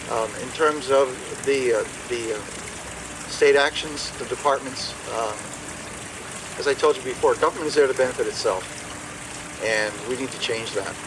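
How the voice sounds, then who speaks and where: A man at a moderate pace and fairly high pitch, with fairly even intonation and long, frequent pauses, over noticeable background noise. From Maine. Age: 60s. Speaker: political candidate. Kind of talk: question and answer session. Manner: halting, many repetitions and fillers.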